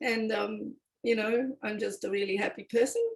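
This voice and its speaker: Speaking with an Australian accent, a woman has a fairly high, somewhat breathy voice with ordinary pitch variation. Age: 60s. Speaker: circle participant, former public servant. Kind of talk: personal sharing in a listening circle. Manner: halting, with restarts.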